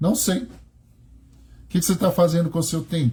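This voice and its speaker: Somewhat breathy, the man's voice comes through. Its tone is dark and mellow. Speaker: religious teacher. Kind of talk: religious study talk. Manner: slow.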